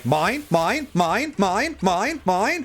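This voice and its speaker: A man does a put-on character voice pitched high, with clear background noise behind him. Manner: squawking, repeated bird-like cry.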